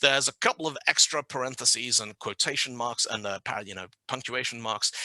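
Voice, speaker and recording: Bright and sharp in tone, a man talks at a fairly quick pace with a British accent. The sound is dry and close, with no echo. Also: medium pitch for a man, ordinary pitch variation, big swings in loudness. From Zimbabwe, then UK from age ten. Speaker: conference speaker. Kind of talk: technical talk. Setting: online meetup from home office.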